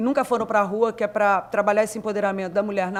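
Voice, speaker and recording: A woman with a plain, everyday voice and fairly even intonation. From southern Minas Gerais, Brazil. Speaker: graffiti artist. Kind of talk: panel discussion.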